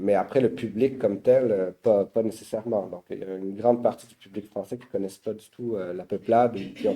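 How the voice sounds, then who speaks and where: A man with a Quebec accent speaks at a moderate pace and medium pitch. His tone is dark and mellow, and his intonation fairly even. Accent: Québécois. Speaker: publisher. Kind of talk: panel talk. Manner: halting.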